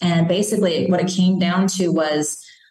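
Fairly low in pitch, a woman with a Chicago accent speaks with fairly even intonation. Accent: Chicago American. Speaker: children's book author and former police officer. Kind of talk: interview conversation.

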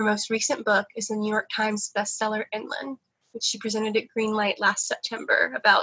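This woman's fairly high pitch stays fairly even in intonation as she talks at a moderate pace in an unremarkable speaking voice. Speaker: bookstore event host. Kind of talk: event introduction. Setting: video call.

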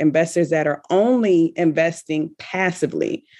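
A woman speaks in an ordinary speaking voice, fairly low in pitch with ordinary pitch variation. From US South, Richmond, Virginia. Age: 30s. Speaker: real estate investor. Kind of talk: interview.

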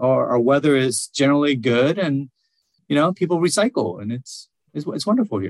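A man speaks at a moderate pace and medium pitch, swinging very widely in pitch. The sound is dry and close, without echo. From Vietnam, then US from age eight. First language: Vietnamese. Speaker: nonprofit speaker and blogger. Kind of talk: podcast interview.

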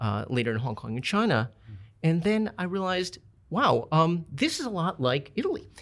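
A man with an American accent, high pitch, very wide pitch swings, and a fairly quick pace. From Minneapolis, Minnesota. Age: 50s. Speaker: restaurant owner. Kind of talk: casual interview chat. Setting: studio. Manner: halting, many fillers.

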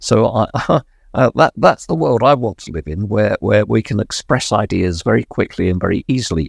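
In a very clean recording with a silent background and a dry, close sound with no echo, a man with a fairly low pitch and vocal fry speaks at a moderate pace with lively intonation. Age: 70s. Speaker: lived experience researcher with Alzheimer's. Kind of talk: casual chat. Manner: hesitant with fillers.

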